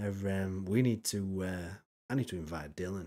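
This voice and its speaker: A man with a Yorkshire accent, a fairly low pitch and a dark, mellow tone. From Yorkshire, northern England. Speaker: streamer reacting to videos. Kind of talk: casual live-stream commentary. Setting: live stream. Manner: animated.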